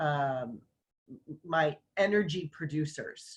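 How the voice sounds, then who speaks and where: A woman speaks in a somewhat breathy voice. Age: 60s. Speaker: online summit host and business owner. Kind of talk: casual conversation.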